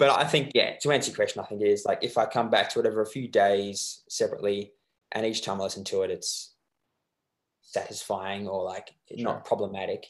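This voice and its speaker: A man with an Australian accent talks at a fairly quick clip. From Australia, Melbourne. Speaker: musician. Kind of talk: interview. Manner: halting.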